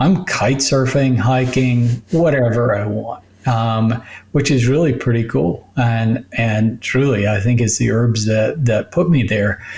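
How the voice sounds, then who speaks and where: At a fairly slow pace, a somewhat breathy man speaks at a medium pitch with ordinary pitch variation. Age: 60s. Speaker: medical doctor. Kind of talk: radio interview.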